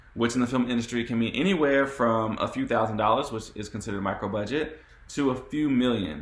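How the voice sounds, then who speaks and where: Medium-pitched male speech, fairly quick, with ordinary pitch variation. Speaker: panel moderator. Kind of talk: moderated panel discussion. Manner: fast.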